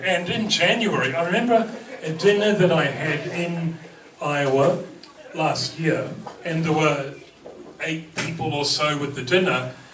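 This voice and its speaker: Amid noticeable background noise and audible room echo, a man with a New Zealand accent speaks at a fairly slow pace. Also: fairly high pitch for a man, ordinary pitch variation. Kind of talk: talk to an audience. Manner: humorous, conversational with hesitations.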